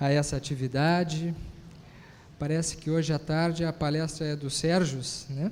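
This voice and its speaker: With a southern Brazilian accent, a man talks at a moderate pace in a fairly high pitch and a monotone, flat intonation. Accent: gaúcho Brazilian Portuguese. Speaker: physician and spiritist lecturer. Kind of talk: lecture.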